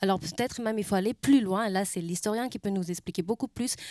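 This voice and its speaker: A woman's fairly high pitch with ordinary variation and a German accent, dry with no echo, against a quiet background. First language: German (speaking French). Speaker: museum curator; panelist. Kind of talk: panel discussion. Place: stage. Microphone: handheld.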